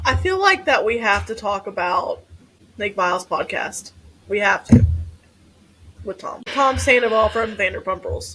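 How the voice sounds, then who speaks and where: A woman with a Kentucky accent at a moderate pace, with long, frequent pauses. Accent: Kentucky accent, loud and proud. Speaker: podcast co-host, therapist. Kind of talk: casual chat.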